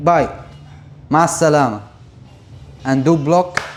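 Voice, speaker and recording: Speaking at a very slow pace, a man with a Syrian accent has a fairly high pitch. Noticeable background noise is present. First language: Arabic. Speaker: Arabic teacher. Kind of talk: language lesson to camera. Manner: casual, friendly.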